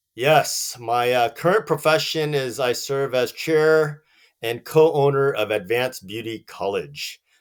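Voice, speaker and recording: A man's fairly high voice with an American accent, ordinary pitch variation and a fairly slow pace, on a very clean recording with a silent background. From Southern California. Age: 40s. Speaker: business owner. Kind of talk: interview.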